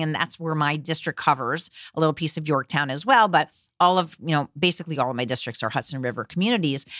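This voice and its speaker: Speaking fairly quickly, a woman with an American accent uses a bright, sharp tone and lively intonation. The recording is very clean with a silent background and a dry, close sound with no echo. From New Jersey (Teaneck). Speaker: state legislator. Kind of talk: interview.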